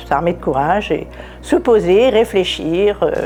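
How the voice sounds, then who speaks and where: A woman's very slow speech comes through with noticeable noise in the background. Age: 60s. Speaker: cancer survivor. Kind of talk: testimony. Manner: halting.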